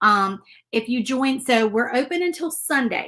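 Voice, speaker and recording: A woman speaks with a Southern US accent. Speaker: crafter and shop owner. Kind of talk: live-stream painting tutorial. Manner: fast.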